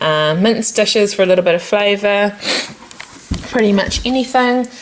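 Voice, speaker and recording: Noticeable background noise accompanies this recording. A woman with a medium-pitched voice speaks in a New Zealand accent. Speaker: lifestyle vlogger. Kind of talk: casual home tour vlog.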